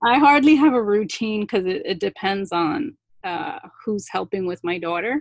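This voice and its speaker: A woman speaks with a New Jersey accent. Her sound is dry and close, without echo. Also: medium pitch for a woman, lively intonation, moderate pace. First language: not English. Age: 30s. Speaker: small business owner and social worker. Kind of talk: casual interview conversation.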